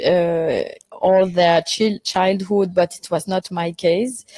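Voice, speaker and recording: A woman with a French accent speaks at a very slow pace and medium pitch, her intonation fairly even. The sound is dry and close, with no echo. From Belgium, Brussels. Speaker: film director. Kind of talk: interview. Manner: halting, many fillers.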